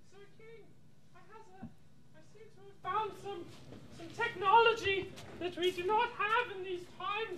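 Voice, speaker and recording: A put-on character voice, squeaky and extremely high in pitch, speaks at a moderate pace. Clear background noise is present. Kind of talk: comic improvised mock-Shakespearean. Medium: stage play. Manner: hesitant, stammering.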